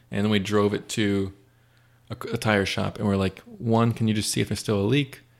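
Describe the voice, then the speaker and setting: A man talks in a plain, everyday voice, fairly low in pitch, at a fairly quick pace. His loudness is very even and his intonation fairly even. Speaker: youth group leader. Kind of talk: casual chat.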